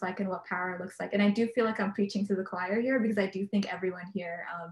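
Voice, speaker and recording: A somewhat breathy woman's voice, medium in pitch, with fairly even intonation. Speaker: peace activist and panelist. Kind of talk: panel discussion. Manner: fast; hesitant, many fillers.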